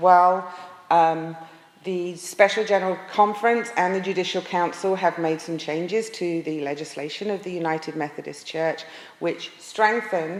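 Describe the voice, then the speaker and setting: A woman with an American accent speaks at a moderate pace. Her pitch is fairly low, and there is noticeable background noise. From England. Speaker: pastor. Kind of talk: presentation to an audience. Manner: frequent hesitations.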